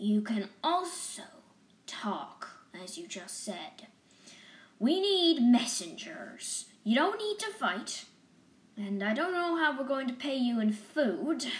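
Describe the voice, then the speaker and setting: Putting on a gruff character voice, a woman speaks at a high pitch and a fairly slow pace, with very wide pitch swings and long, frequent pauses. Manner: gruff, brisk, determined.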